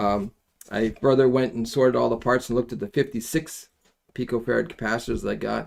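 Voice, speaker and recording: A man's medium-pitched voice with vocal fry, at a moderate pace. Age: 70s. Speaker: amateur radio kit builder. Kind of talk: live stream tutorial. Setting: live stream. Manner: casual, hesitant with fillers.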